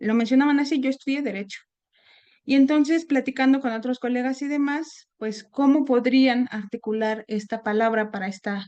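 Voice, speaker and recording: A woman with a Mexican accent speaks at a high pitch in a dark, mellow tone. Her pace is moderate and her pitch variation ordinary. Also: quiet background. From Mexico, Puebla. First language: Nahuatl (speaking Spanish). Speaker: seminar speaker. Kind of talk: academic talk. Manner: halting, many fillers.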